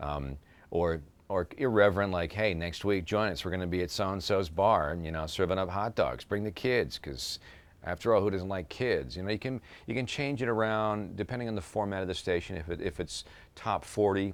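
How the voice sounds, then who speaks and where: In a very clean recording with a silent background, a man with a plain, everyday voice talks at a fairly quick pace, fairly low in pitch, with ordinary pitch variation. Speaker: voice actor. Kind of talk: interview answer.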